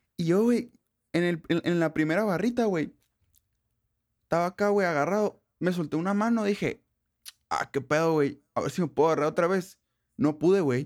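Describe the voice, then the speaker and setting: A man speaks with a high pitch and ordinary pitch variation at a moderate pace. His delivery has long, frequent pauses. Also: very clean recording, silent background. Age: 20s. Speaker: podcast co-host. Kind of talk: casual chat. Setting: home studio in bedroom.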